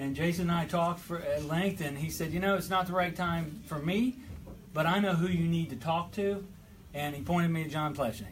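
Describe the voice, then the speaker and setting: In a room with audible echo, a man talks fairly quickly at a high pitch with ordinary pitch variation. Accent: southeastern Ohio. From southeastern Ohio, Gallipolis. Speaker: state legislator. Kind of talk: political speech. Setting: hall with audience.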